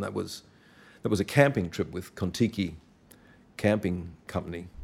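This man speaks with an Australian accent at a fairly slow pace. His pitch is very deep and low. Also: very clean recording, silent background. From Australia, Brisbane (Queensland). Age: 70s. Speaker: storyteller recounting travels. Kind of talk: casual chat.

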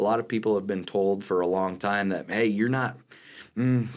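Fairly even intonation marks an unremarkable speaking voice at a fairly quick pace. The background is silent on a very clean recording. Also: man. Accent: American. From western Nebraska (Hemingford). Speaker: college math instructor. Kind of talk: interview.

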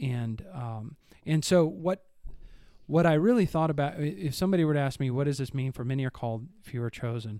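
A man speaks with a Northern Midwestern accent at a fairly quick pace. His voice is fairly high, dark and mellow, with lively intonation. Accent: Northern Midwestern American. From US Midwest. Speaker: church podcast co-host discussing the Bible. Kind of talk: casual Bible discussion. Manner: rambling.

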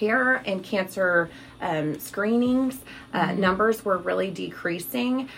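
With noticeable background noise behind her, a woman with an American accent talks very slowly at a medium pitch, her intonation lively. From Missouri, US Midwest. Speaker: tumor registrar. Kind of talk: interview.

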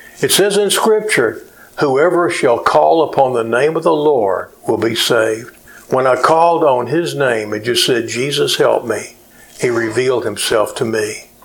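Over noticeable background noise, a man with a medium pitch speaks with lively intonation. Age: 70s. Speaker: pastor. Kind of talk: sermon. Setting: church. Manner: hesitant with frequent uh fillers.

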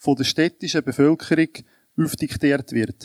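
Dry and close with no echo, a man's voice sounds fairly high in pitch with a dark, mellow tone. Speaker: citizens' association president. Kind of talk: panel debate.

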